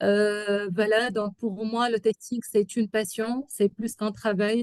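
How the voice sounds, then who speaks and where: A woman in an Arabic accent, fairly high in pitch, at a very slow pace, with a dry, close sound and no echo. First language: Arabic (speaking French). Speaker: software testing expert. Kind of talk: webinar talk. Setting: online webinar. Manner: halting, many hesitations.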